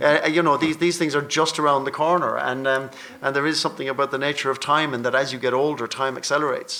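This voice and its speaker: A man with an Irish accent talks at a very fast pace. His pitch sits fairly high, and his intonation stays monotone and flat. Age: 60s. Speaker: panel moderator and actor. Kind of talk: panel discussion.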